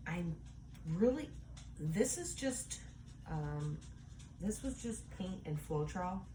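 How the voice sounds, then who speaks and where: A woman talks very slowly, with long, frequent pauses. Audible echo fills the room. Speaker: art hobbyist vlogger. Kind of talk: casual tutorial chat. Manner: casual, hesitant with fillers; whispering while concentrating.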